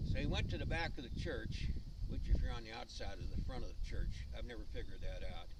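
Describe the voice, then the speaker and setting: The speech moves at a very fast pace. Room echo is audible. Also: man. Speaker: amateur storyteller. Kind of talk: storytelling.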